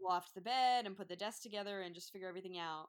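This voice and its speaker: With a New Jersey accent, a woman talks with ordinary pitch variation. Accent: New Jersey American. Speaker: veterinary student. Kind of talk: casual chat.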